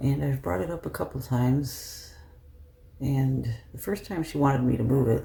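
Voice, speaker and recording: This man is soft-spoken. He talks at a moderate pace. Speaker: lifestyle vlogger. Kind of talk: casual vlog talk. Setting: at home.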